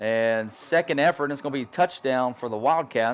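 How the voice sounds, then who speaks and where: A very fast-talking man, his pitch varying in an ordinary way. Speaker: high school football play-by-play announcer. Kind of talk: live commentary. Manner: loud.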